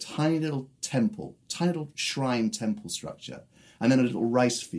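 The speaker has a British accent and a moderate pace. The pitch swings very widely. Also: man. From England. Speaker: music producer and musician. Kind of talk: interview.

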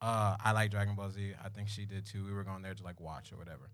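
In a South Florida accent, a man talks very fast at a fairly low pitch, on a very clean recording with a silent background. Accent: South Florida urban American. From South Florida (Pompano Beach). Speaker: comedic storyteller. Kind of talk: storytelling to live audience. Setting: stage with audience. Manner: animated.

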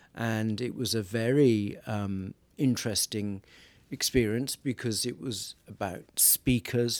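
In a very clean recording with a silent background and a dry, close sound with no echo, a man of medium pitch speaks at a very slow pace with fairly even intonation. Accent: Welsh. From Wales. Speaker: priest. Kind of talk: casual chat. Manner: humorous, jokey.

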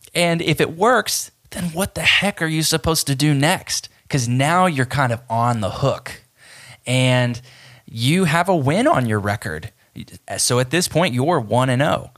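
Lively in intonation, a man with a fairly high pitch speaks at a fairly slow pace on a very clean recording with a silent background. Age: 30s. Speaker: podcast host. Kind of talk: solo monologue podcast.

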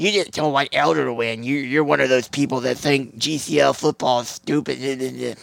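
In a put-on character voice, a man speaks raspily at a medium pitch. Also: moderate pace, hardly any pauses. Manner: mocking.

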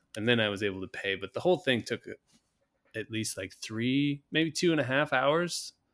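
A man with a plain, everyday voice talks at a medium pitch and a moderate pace, his intonation lively. It is a very clean recording with a silent background. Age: 40s. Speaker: podcast co-host, parent. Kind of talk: casual chat.

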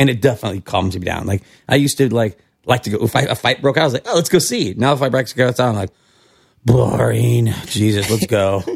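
A man with an American accent talks very fast at a medium pitch. His voice has vocal fry and ordinary pitch variation. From California. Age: 40s. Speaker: bartender and restaurateur. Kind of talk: casual chat.

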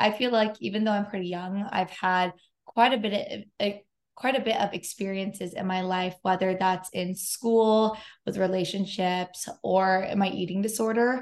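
A woman with an American accent speaks in a normal speaking voice at medium pitch, with fairly even intonation, at a moderate pace against a quiet background. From US West Coast, San Diego. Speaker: podcast host. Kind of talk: casual chat.

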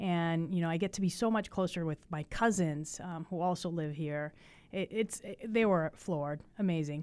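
On a very clean recording with a silent background, a woman speaks at a moderate pace in a fairly low pitch. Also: ordinary pitch variation. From Chicago, raised in Puerto Rico until age eleven. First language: Spanish. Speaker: TV news reporter. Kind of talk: podcast interview conversation. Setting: studio.

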